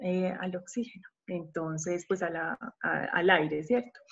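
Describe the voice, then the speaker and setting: This woman has a normal speaking voice, talking at a moderate pace with a medium pitch. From Colombia, Medellín. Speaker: psychologist and parenting coach. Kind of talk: podcast talk.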